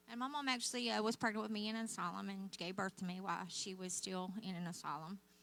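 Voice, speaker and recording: Over noticeable background noise, a woman with an American accent talks at a fairly quick pace with ordinary pitch variation. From Oklahoma, mostly southern. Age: old. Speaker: guest speaker. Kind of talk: testimony. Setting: church.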